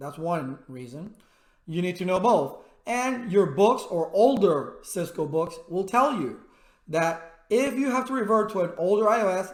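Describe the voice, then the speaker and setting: Loud and animated, a man talks at a fairly slow pace with a high pitch and lively intonation, with audible room echo. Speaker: IT instructor. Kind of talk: tutorial.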